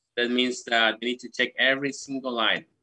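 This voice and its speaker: With a Spanish accent, a man at a medium pitch speaks in a bright, sharp tone. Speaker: charity country coordinator. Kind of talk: interview.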